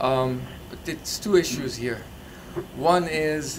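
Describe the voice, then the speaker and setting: Noticeable background noise sits behind a man's voice. His intonation is fairly even. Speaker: audience member. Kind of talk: audience question and remarks. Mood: earnest, grateful. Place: hall.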